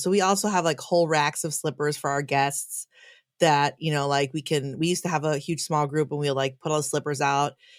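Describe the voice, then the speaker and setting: On a very clean recording with a silent background, a woman with a Chicago accent talks fairly quickly in a very deep, low pitch. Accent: Chicago American English. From US Midwest, Chicago. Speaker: pastor. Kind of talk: casual chat.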